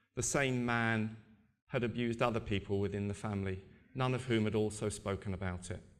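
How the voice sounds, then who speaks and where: Talking at a moderate pace, a man uses a medium pitch and fairly even intonation, with audible room echo around him. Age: 60s. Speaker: abuse survivor and charity advocate. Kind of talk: conference talk. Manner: halting, many repetitions.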